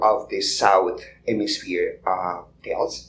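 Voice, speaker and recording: Audible room echo follows a man speaking with a Colombian accent. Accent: non-American accent, Colombian. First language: Spanish. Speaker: podcast guest. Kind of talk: live podcast conversation. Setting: conference stage with audience. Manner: halting, many fillers.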